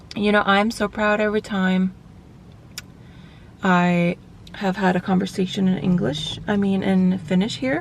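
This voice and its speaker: Spoken with a Swedish accent, the delivery has fairly even intonation, very even loudness and long, frequent pauses. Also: woman, medium pitch for a woman. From Finland, Swedish-speaking Vaasa area. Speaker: vlogger and bodybuilder. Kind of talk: casual vlog talk. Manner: chatty, filler-heavy.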